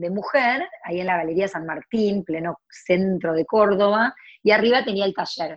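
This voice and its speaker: Female voice at medium pitch, with ordinary variation in pitch. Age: 40s. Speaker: entrepreneur and blogger. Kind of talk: interview. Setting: video call. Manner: animated.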